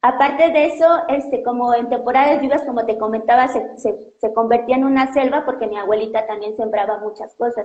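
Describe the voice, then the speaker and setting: In audible room echo, a woman with a Mexican accent speaks at a fairly quick pace. Her high voice keeps fairly even intonation. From Mexico. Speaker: doctoral student in biology; interviewee. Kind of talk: interview. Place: home room. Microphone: earbuds.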